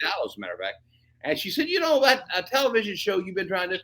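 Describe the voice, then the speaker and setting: Projecting a raised voice, a man speaks with a bright, sharp tone and very wide pitch swings. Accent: American. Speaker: pastor, evangelist, author, radio and television personality. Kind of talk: interview answer, personal testimony. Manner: enthusiastic, charismatic, conversational.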